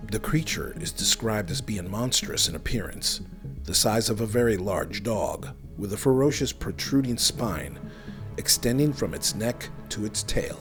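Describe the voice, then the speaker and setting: Music plays in the background as the speaker moves at a moderate pace with very wide pitch swings. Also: man, medium pitch for a man. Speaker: podcast host. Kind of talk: paranormal documentary narration.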